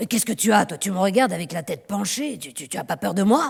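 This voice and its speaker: In a put-on character voice, a woman sounds raspy at medium pitch, speaking at a very fast pace with very wide pitch swings. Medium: read story. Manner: gruff, halting.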